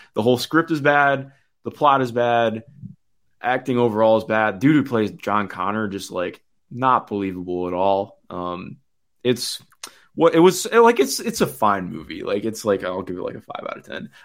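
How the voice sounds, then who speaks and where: Speaking at a moderate pace with an American accent, a man with a medium-pitched voice uses lively intonation and big swings in loudness, captured on a very clean recording with a silent background. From US Midwest. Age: 20s. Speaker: basketball analyst. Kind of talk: casual chat. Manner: halting.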